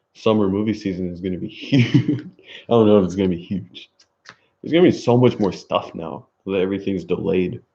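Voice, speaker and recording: A man with a dark, mellow tone and fairly low pitch speaks at a fairly quick pace, his loudness swinging widely. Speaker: streamer. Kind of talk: casual chat. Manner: monotone.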